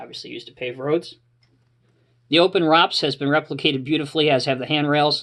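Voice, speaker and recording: Over a quiet background, a man talks at a very fast pace, his fairly high voice bright and sharp in tone with fairly even intonation. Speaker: die-cast model collector. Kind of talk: casual product showcase talk to camera.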